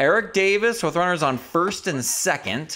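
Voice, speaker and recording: An animated tone over noticeable background noise. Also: man. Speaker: video game streamer. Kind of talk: live sports commentary. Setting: gameplay commentary over video game. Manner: animated play-by-play.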